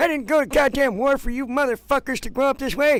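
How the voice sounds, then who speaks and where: A put-on character voice comes through at a moderate pace. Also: man. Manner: grumpy, ranting.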